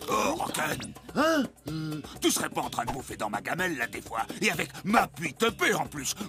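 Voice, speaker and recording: Clear background noise sits behind a man doing a high-pitched cartoonish character voice at a moderate pace. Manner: loud, gruff.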